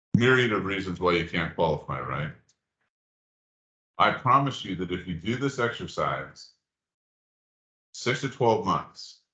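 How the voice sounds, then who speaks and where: A man with a bright, sharp tone and vocal fry speaks at a fairly slow pace. His pitch swings very widely, and he leaves long, frequent pauses. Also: fairly low pitch for a man. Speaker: mortgage lender presenter. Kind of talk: presentation to real estate meetup.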